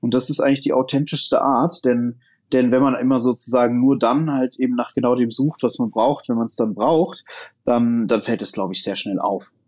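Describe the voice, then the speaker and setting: With an unremarkable speaking voice, a man talks at a moderate pace and medium pitch with fairly even intonation. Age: 30s. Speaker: founder and investor. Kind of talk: casual interview.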